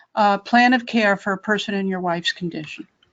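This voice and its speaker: Here is a woman with an unremarkable speaking voice and fairly high pitch. She moves at a fairly quick pace with ordinary pitch variation. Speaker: Medicare advocacy expert. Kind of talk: webinar Q&A advice. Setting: webinar.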